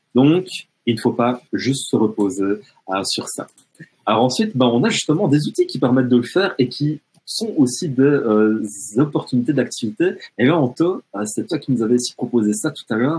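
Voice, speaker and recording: The man talks at a middle pitch and keeps a moderate pace. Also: lively intonation. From French-speaking Canada. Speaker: educational technology trainer. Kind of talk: webinar presentation. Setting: online webinar. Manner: hesitant, many fillers.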